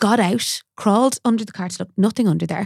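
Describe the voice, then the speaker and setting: Speaking fairly quickly with an Irish accent, a woman sounds animated and somewhat breathy, with ordinary pitch variation, on a very clean recording with a silent background and a dry, close sound with no echo. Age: 30s. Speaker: makeup artist. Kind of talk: casual chat.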